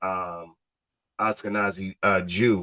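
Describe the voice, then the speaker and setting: Recorded dry and close with no echo, a man with an American accent talks in a bright, sharp, animated tone. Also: very clean recording, silent background. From Ohio, born Cleveland, raised Cincinnati. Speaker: podcast host and educator. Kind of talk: casual interview chat.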